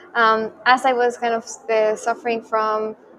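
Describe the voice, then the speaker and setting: This is a woman's voice. She speaks with a Spanish accent. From Chile (Santiago). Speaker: crypto journalist and media founder. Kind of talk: interview. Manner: hesitant, many fillers.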